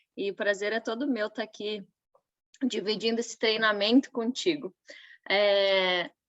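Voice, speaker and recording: Against a quiet background, a woman with a fairly high pitch talks at a fairly slow pace with long, frequent pauses, in a dry, close sound with no echo. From western Santa Catarina, Brazil. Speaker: nutritionist. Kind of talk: online business training.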